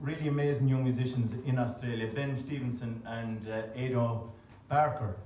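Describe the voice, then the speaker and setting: A man talks at a moderate speed with ordinary pitch variation, his voice carrying audible room echo amid noticeable background noise. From Birmingham, England, then County Clare, Ireland. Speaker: traditional musician. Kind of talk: onstage tune introduction. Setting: stage with audience. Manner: hesitant, many fillers.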